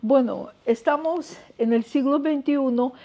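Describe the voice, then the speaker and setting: The voice carries a Russian accent. It moves at a very slow pace with ordinary pitch variation. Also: woman. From Russia, Moscow. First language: Russian (speaking Spanish). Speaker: scientist. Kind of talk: lecture. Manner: hesitant, with fillers.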